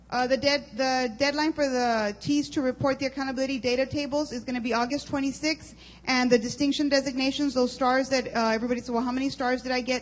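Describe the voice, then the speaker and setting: Her high pitch holds a monotone, flat intonation as the woman races along at a very fast pace with hardly any pauses. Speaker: school district administrator. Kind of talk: presentation at board meeting. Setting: school board meeting.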